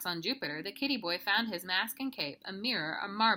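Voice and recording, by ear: It is reading aloud in a natural voice, with lively intonation.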